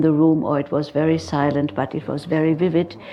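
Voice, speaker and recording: A woman speaks with a German accent. Her pitch is fairly low and her pace moderate. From Germany. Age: 60s. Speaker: psychotherapist. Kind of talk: lecture. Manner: halting.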